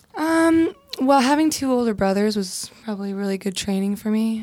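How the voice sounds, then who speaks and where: Using an ordinary speaking voice, a woman speaks at medium pitch with lively intonation. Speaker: singer in a band. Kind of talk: casual interview chat. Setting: studio.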